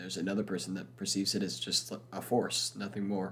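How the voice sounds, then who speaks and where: Vocal fry runs through a bright, sharp tone delivered at a fairly quick pace. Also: man. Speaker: podcast host. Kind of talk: casual podcast book review.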